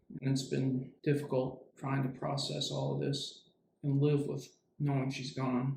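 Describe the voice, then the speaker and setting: The man speaks at a medium pitch in a monotone, flat intonation, his voice somewhat breathy. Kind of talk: movie review talk. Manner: agitated, sometimes rushed.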